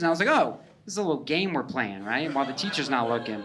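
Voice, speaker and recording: Very wide pitch swings amid audible room echo. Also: man. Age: 30s. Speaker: stand-up comedian. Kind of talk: stand-up. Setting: stage with audience. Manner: casual, halting with fillers.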